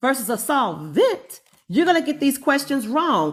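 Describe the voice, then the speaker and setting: A woman with a high pitch speaks at a moderate pace, her voice making very wide pitch swings. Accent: North Carolina. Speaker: chemistry professor. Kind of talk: live-streamed lecture. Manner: casual, conversational.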